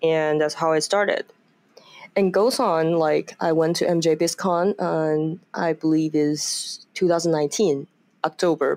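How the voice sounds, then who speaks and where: A woman speaks very slowly in a fairly low voice, her intonation fairly even and her loudness very even, with a dry, close sound and no echo. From Taiwan, Taipei. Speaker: cannabis lawyer. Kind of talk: interview.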